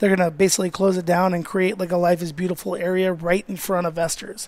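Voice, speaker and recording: A man speaks with an American accent. His voice is high-pitched. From Las Vegas, US. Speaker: chef and restaurant owner. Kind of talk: casual chat. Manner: fast; animated.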